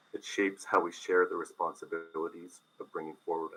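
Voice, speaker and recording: A man is speaking. His pace is moderate. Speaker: arts organization representative presenting to council. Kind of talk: formal presentation to city committee. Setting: council chamber.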